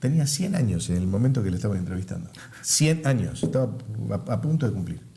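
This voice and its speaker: Very fast and somewhat breathy, a man with a dark, mellow tone swings his pitch very widely amid audible room echo. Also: medium pitch for a man. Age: 70s. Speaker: pastor. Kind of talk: interview.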